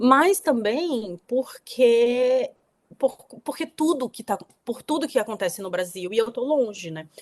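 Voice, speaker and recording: At a fairly slow pace, a woman with a high voice speaks with lively intonation and big swings in loudness. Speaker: author. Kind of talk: interview conversation.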